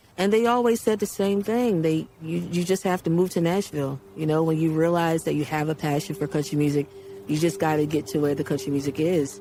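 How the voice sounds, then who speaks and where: Her pitch very deep and low, a woman with a Baltimore accent speaks at a fairly quick pace with lively intonation. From Baltimore, US. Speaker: country singer. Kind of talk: interview testimony.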